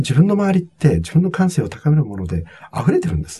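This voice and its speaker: This man's voice has a dark, mellow tone, sounds somewhat breathy, and moves through very wide pitch swings. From Japan, Nagano (Togakushi). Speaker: hospitality consultant and author. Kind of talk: interview.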